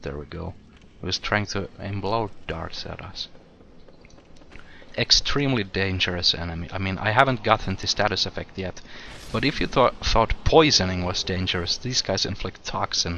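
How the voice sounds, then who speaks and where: A quiet man's very deep, low voice, with big swings in loudness and long, frequent pauses. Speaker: gaming video creator. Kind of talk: let's play commentary. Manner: casual, conversational.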